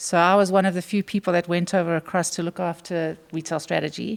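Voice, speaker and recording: A woman with a South African accent, fairly low in pitch and monotone and flat in intonation, at a fairly quick pace, in a dry, close sound with no echo on a very clean recording with a silent background. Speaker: retail executive. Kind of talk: interview.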